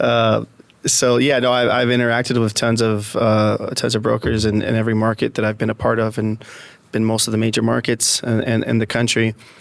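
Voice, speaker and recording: A man with a Spanish accent speaks at a fairly quick pace and a medium pitch, his intonation flat and monotone. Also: very even loudness. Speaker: real estate executive. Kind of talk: podcast interview. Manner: halting, many repetitions and fillers.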